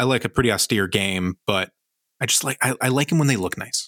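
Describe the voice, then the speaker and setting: Captured dry and close with no echo on a very clean recording with a silent background, a man with an unremarkable speaking voice of medium pitch talks at a fairly quick pace with lively intonation. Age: 20s. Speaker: board game podcast co-host. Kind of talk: casual chat.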